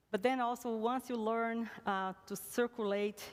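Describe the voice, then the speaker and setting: A woman speaks with a Brazilian accent. Her pitch varies in an ordinary way. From Brazil, Recife. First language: Portuguese. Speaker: church music lecturer. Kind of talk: interview conversation. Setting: stage with live audience. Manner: hesitant, with fillers and repetitions.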